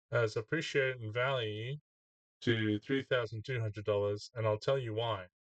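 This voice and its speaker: At a moderate pace, a man speaks in a medium-pitched, somewhat breathy voice with fairly even intonation. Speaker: gadget reviewer. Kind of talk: casual product review. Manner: hesitant with many fillers.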